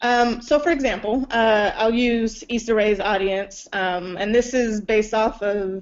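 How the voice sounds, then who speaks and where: Here is a woman with an unremarkable speaking voice. Her pitch is fairly high, with ordinary variation. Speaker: film and web series producer. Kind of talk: conference talk.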